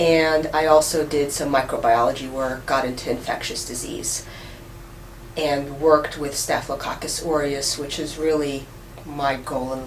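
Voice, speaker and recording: With a Russian accent, a woman speaks at a moderate pace in a very deep, low pitch and a monotone, flat intonation, with audible room echo and noticeable background noise. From New York City. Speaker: professor. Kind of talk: interview.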